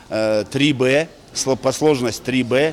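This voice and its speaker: A man speaks at a very slow pace. His pitch is medium, with fairly even intonation. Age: 60s. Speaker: mountaineering federation official. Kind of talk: interview. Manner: hesitant with fillers.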